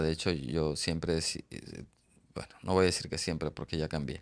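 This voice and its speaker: A man speaks in fairly even intonation. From Mexico, Oaxaca. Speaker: author. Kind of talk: interview. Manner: halting, many repeated syllables.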